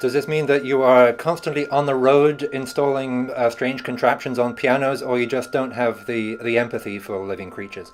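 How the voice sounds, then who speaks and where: A man with an English accent speaks at a medium pitch with fairly even intonation and hardly any pauses. Noticeable background noise runs behind him. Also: moderate pace. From England, Cambridge. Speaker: interviewer, record label host. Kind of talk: interview. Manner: halting.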